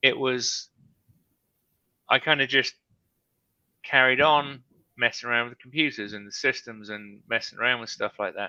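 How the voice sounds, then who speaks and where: A man with a British accent talks at a moderate pace in a bright, sharp tone and a medium pitch, his loudness swinging widely and his pitch varying in an ordinary way, with long, frequent pauses against a quiet background. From Britain. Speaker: live stream host, real estate investor. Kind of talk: casual chat. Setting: live stream video call.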